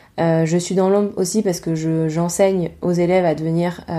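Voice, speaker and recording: A woman's fairly low voice, dark and mellow in tone, with fairly even intonation on a very clean recording with a silent background. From Provence, southern France. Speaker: podcast host, textile designer and teacher. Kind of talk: casual monologue.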